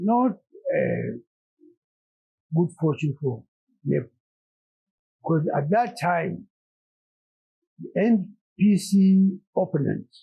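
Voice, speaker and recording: This man's pitch is high and his intonation lively. He talks at a very slow pace with long, frequent pauses. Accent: Northern Nigerian. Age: 80s+. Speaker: elder statesman, politician. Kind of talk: interview answer.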